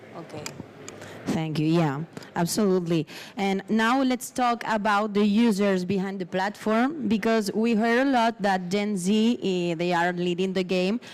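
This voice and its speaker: With a Spanish accent, a woman speaks at a medium pitch with ordinary pitch variation. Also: moderate pace. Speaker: panel moderator. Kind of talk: conference panel interview.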